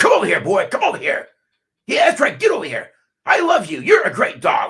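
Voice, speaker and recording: In a put-on character voice, a man talks loudly and projects at a fairly quick pace, his pitch extremely high. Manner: menacing and harsh, with kind words spoken in a threatening tone.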